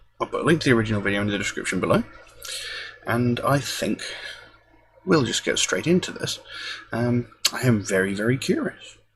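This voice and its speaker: A soft-spoken man at a fairly quick pace, broken by long, frequent pauses, with noticeable background noise. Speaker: music reaction youtuber. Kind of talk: casual video monologue. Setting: at home. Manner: quiet, soft-spoken; hesitant, many fillers.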